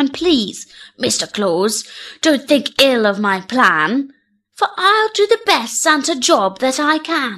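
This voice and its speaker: A woman's put-on character voice at a fairly slow pace, on a very clean recording with a silent background. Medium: read story. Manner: theatrical, earnest.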